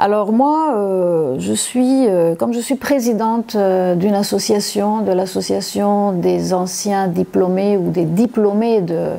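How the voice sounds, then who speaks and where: Talking at a very slow pace, a woman keeps a medium pitch. Her pitch variation is ordinary. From Congo (Likasi) until 12, then Cyprus. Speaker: university lecturer. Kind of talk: testimony. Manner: halting, many hesitations.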